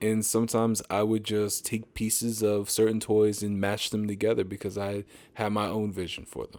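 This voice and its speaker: In a slight Southern US accent, a man with a fairly low pitch speaks in a monotone, flat way at a moderate pace, on a very clean recording with a silent background. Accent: slight Southern twang. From Pennsylvania, US. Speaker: engineer, podcast guest. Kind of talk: interview conversation.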